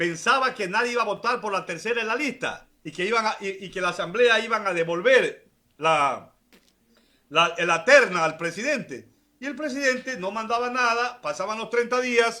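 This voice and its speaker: A man speaks in a raised, projected voice, high and bright with a sharp tone. His intonation is lively and his pace moderate. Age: 60s. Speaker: politician. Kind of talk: political interview.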